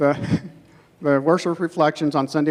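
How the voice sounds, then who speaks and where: Quietly, a man speaks at a fairly quick pace and a fairly high pitch. His intonation is monotone and flat. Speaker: youth ministry leader. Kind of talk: announcements to group. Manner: quietly spoken.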